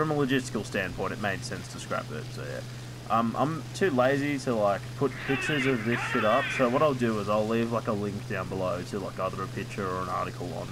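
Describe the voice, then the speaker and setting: Speaking with an Australian accent at a fairly quick pace, a man with a medium pitch and ordinary pitch variation is heard through audible room echo and noticeable background noise. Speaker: gaming YouTuber. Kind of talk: casual gameplay commentary. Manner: rambling with many fillers.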